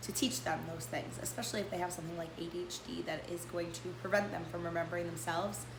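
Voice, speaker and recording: Over noticeable background noise, a woman speaks at a fairly quick pace in a fairly low pitch. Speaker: homeschooling parent. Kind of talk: casual talk to camera.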